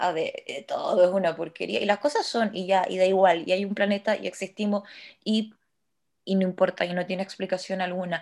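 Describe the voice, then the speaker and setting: In a very clean recording with a silent background, a woman of medium pitch speaks at a fairly quick pace in monotone, flat intonation. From Chile, Santiago. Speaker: podcast co-host. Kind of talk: casual chat.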